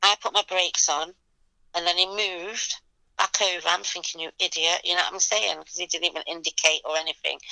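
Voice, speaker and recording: At a fairly quick pace, a woman speaks with a fairly low pitch and a bright, sharp tone in a flat monotone. The sound is dry and close with no echo, and the background is quiet. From England, Leicester. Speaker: event promoter. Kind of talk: interview.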